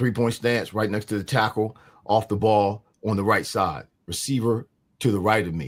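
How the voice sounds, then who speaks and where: In a very clean recording with a silent background, an ordinary speaking voice talks at a moderate pace with ordinary pitch variation. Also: man. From New Jersey, Mount Holly. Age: 60s. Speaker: former pro football player. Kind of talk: interview.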